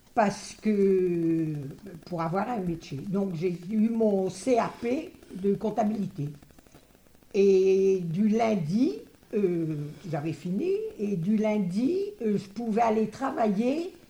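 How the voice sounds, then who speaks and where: A woman of medium pitch speaks very slowly with ordinary pitch variation and long, frequent pauses, with noticeable background noise and audible room echo. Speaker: retired interviewee recalling school days. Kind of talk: testimony.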